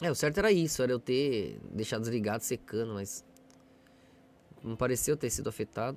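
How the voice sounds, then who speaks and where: A man with a medium-pitched voice and vocal fry speaks with long, frequent pauses. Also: ordinary pitch variation, fairly quick pace. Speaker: livestreamer. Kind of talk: casual live stream chat. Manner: soft-spoken.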